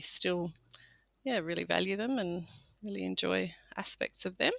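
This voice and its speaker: Speaking at a moderate pace, a woman with an Australian accent is heard in a dry, close sound with no echo and a very clean recording against a silent background. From Australia, Sydney. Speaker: farmer. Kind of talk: interview.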